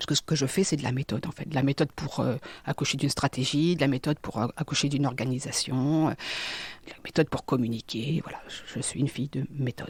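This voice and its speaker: Speaking at a fairly quick pace, a woman has a very deep, low pitch and a somewhat breathy sound. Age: 50s. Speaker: business consultant and psychic. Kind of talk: interview testimony. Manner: halting, with many repetitions and fillers.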